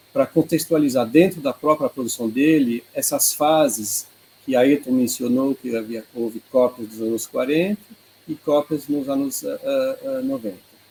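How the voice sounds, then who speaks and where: There is noticeable background noise as a man talks at a fairly slow pace, fairly high in pitch, with ordinary pitch variation. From Switzerland, Geneva. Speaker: art researcher, presenter. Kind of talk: online presentation. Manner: halting.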